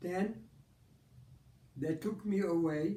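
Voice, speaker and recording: Fairly even intonation with audible room echo. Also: man. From Poland. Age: 90s. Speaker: Holocaust survivor. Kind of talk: interview, personal testimony. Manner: halting, with repetitions and false starts.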